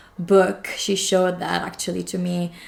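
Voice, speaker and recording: A woman speaks in a fairly low, monotone voice with flat intonation. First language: Polish and Italian. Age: 20s. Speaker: English teacher. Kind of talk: casual talk to camera.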